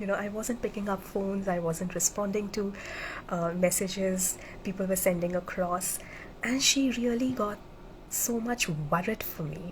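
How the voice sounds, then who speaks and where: This woman's voice is somewhat breathy, with ordinary pitch variation. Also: medium pitch for a woman, moderate pace. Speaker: military officer turned motivational speaker. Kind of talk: live-streamed motivational talk. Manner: halting, with many fillers.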